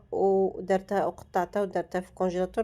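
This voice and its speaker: A woman with an Algerian accent talks at a medium pitch in a dark, mellow tone. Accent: Algerian Arabic (Darija). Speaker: lifestyle vlogger. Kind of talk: casual vlog talk to viewers.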